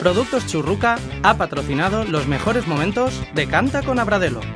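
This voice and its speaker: The pace of speech is moderate. Background music is audible throughout. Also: man. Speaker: voice-over announcer. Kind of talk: TV sponsor announcement.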